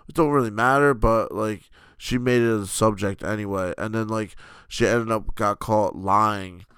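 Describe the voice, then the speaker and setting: On a very clean recording with a silent background, a man with an American accent talks at a moderate pace and a fairly low pitch. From New Jersey. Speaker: gaming podcast co-host. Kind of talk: casual chat.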